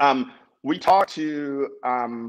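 A man's voice with lively intonation against a quiet background. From US South, New Orleans, Louisiana; Louisiana. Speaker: tech company founder and CEO; podcast guest. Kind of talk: interview. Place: home room. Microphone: video call.

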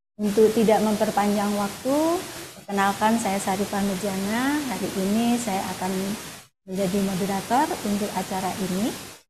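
Noticeable background noise sits behind a woman's voice. She keeps a moderate pace with ordinary pitch variation. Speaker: moderator and dean. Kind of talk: event moderation. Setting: video call. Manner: formal. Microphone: webcam.

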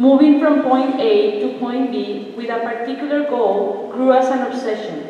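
A woman speaks at a high pitch and a moderate pace with ordinary pitch variation. Strong room echo and light background noise fill the recording. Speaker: visual artist and art teacher. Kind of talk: artist lecture. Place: hall. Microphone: camera far.

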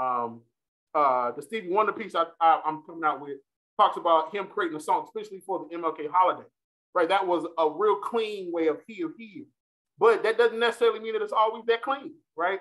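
A man talks fairly quickly in a high voice with lively intonation. The background is quiet. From US South, North Carolina. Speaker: political science professor. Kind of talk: lecture; Q&A discussion. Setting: stage with audience. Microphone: webcam.

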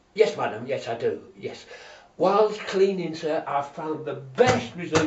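Audible room echo and light background noise accompany a man talking at a fairly slow pace. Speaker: comic performer. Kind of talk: comedy sketch monologue. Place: bathroom. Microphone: camera far.

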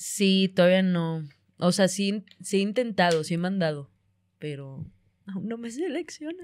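With lively intonation and a medium pitch, a woman speaks in a normal speaking voice on a very clean recording with a silent background. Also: fairly slow pace. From Monterrey, northern Mexico. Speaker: comedian. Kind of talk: casual chat.

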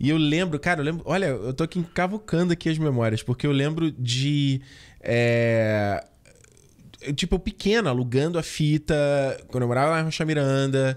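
Against a quiet background, a man speaks at a fairly high pitch and moderate pace, with very even loudness and ordinary pitch variation. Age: 30s. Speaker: film podcast co-host. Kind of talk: casual chat. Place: home room. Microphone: studio mic.

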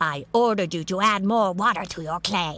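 There is vocal fry in this woman's voice, which has a bright, sharp tone. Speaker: voice of the demon boss character.

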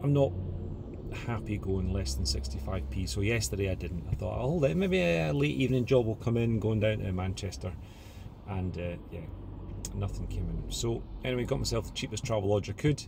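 A man speaks at a moderate pace in a very deep, low voice, the sound dry with no echo and noticeable noise in the background. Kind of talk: casual vlog chat. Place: car. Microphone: phone near.

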